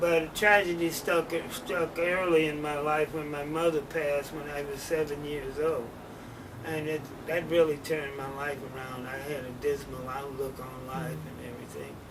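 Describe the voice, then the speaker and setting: A man with an American accent speaks at a moderate pace, with a fairly high pitch, fairly even intonation and big swings in loudness. Noticeable background noise and audible room echo are present. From US Midwest, St. Louis, Missouri. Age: 70s. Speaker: interviewee telling life story. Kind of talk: life story interview. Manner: halting, many fillers.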